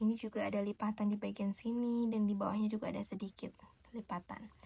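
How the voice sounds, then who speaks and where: A woman speaks at a moderate pace with a fairly high, somewhat breathy voice and fairly even intonation. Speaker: shop tailor / dressmaker character helping a customer. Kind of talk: ASMR roleplay as a tailor talking to the viewer. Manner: soft-spoken, gentle.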